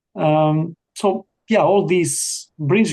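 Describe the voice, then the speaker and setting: The tone is dark and mellow. The sound is dry and close, without any echo. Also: man. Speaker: physics lecturer. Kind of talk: interview. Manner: halting.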